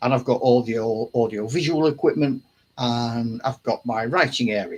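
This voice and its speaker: Somewhat breathy, a man speaks at a medium pitch and a fairly slow pace. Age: 70s. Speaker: wargaming channel host. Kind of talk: casual chat. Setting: home hobby room, live stream. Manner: halting.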